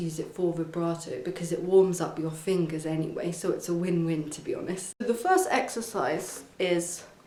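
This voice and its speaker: Amid noticeable background noise and audible room echo, a woman of medium pitch speaks at a moderate pace. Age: young. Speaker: violin teacher. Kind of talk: tutorial. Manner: casual, with fillers and restarts.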